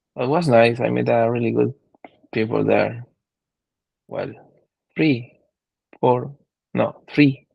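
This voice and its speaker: Very slow and broken by long, frequent pauses, a man speaks. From Chile (Santiago). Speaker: podcast guest, traveller. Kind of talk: casual chat. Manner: halting, hesitant.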